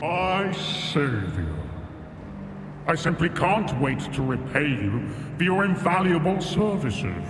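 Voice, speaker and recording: A man does a high-pitched put-on character voice at a fairly slow pace with long, frequent pauses. Loud background noise and a slight echo are present. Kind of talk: eloquent, flowery. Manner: cheery, eager to please.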